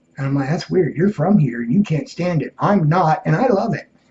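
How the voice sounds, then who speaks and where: With lively intonation, a man is talking. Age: 50s. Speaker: military veteran and vlogger. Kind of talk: casual vlog monologue. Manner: unscripted, rambling delivery.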